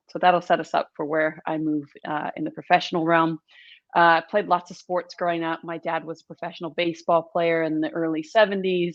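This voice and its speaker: A woman with an American accent speaks at a fairly low pitch and a fairly quick pace. Her intonation is monotone and flat, while her loudness swings widely. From US, Southern California and rural Missouri. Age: 40s. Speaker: brand storytelling and marketing expert. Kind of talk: podcast interview.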